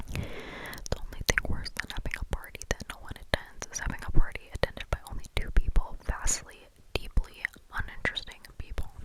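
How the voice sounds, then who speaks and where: The speaker is whispering at a moderate pace. Noticeable background noise sits behind the voice. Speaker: ASMR creator. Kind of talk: ASMR book reading. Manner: whispered.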